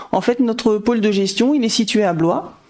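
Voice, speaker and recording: At a moderate pace, a woman talks while noticeable background noise plays behind her. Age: 40s. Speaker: insurance manager. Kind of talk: interview.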